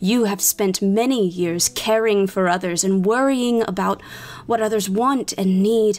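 A woman puts on a booming character voice at a medium pitch with a solemn tone. She speaks at a fairly slow pace as music plays in the background. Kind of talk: epic fantasy oration. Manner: solemn, grave, prophetic.

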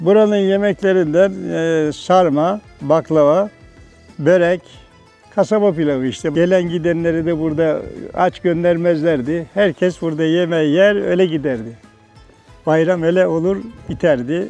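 Music plays in the background as a man speaks at a fairly slow pace. His voice is high-pitched with ordinary variation. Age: 70s. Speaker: tailor and tea house keeper. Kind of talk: interview answer.

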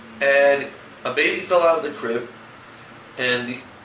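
A man with an American accent and fairly even intonation, with audible room echo and light background noise. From New York, Brooklyn; New York. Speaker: rabbi, youth director; rabbi. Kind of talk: interview. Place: home room. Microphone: camera far.

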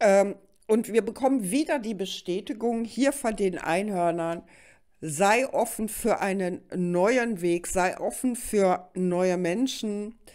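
Against a quiet background, a woman talks very slowly with lively intonation and big swings in loudness. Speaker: tarot card reader; card reader. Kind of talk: monthly tarot reading to camera. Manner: hesitant fillers.

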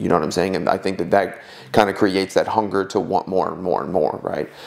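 A man's fairly low, fairly evenly intoned voice, a plain, everyday voice. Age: 20s. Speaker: strength and conditioning coach; podcast co-host, coach. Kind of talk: casual chat. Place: home room. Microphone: lapel.

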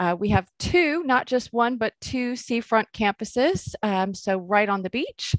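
A woman speaks with an American accent at a moderate pace. The sound is dry with no echo, and the background is quiet. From United States. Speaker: professor and university dean. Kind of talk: webinar presentation. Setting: video call. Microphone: webcam.

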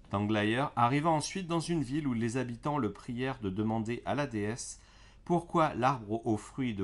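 With an ordinary speaking voice, a man talks at a fairly slow pace and medium pitch with ordinary pitch variation. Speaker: storyteller reading fairy tales aloud. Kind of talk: bedtime story narration, read aloud to children. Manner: gentle, soothing, calm storyteller pace.

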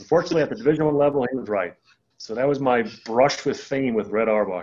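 A man talks fast at medium pitch, with a slightly mellow tone. His pitch varies in an ordinary way.

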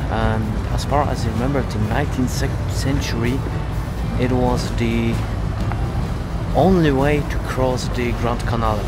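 There is music in the background as a man speaks. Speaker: travel photography vlogger. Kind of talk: casual vlog chat. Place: waterside. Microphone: phone near.

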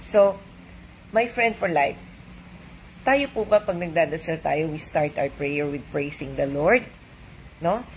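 With a Filipino accent, a woman speaks in a warm, gentle tone with a fairly low pitch and lively intonation over light background noise. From Philippines. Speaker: doctor and devotional reader. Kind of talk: devotional reading with reflective commentary, Taglish. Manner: warm, conversational, gentle; preacherly, earnest, uplifting cadence. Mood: warm, joyful, animated. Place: home room. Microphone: webcam.

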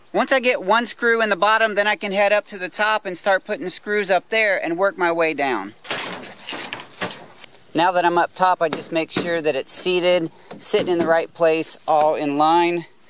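Through noticeable background noise, a man with a high pitch speaks at a moderate pace in a dry sound with no echo. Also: ordinary pitch variation. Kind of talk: casual tutorial vlog. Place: open country. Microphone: phone near.

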